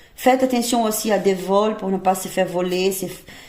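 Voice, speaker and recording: A woman speaks at a medium pitch with fairly even intonation. Room echo is audible. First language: not French (speaking French). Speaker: tarot reader. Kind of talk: tarot reading. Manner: halting, many hesitations.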